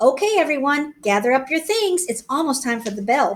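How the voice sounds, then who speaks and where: A put-on character voice at a moderate pace. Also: female-sounding voice, high pitch for a woman. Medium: read story. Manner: brisk, authoritative.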